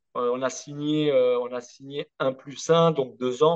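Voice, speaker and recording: Speaking at a very slow pace, a man with a fairly high pitch keeps a monotone, flat intonation. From Corsica. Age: 30s. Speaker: former professional footballer. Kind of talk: interview.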